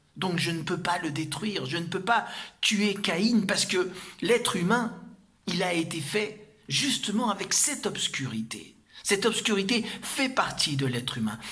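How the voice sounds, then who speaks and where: With noticeable background noise and audible room echo, a man speaks at a fairly slow pace in a high voice with lively intonation. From Argentina. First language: Spanish (speaking French). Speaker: spiritual teacher. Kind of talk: lecture. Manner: halting.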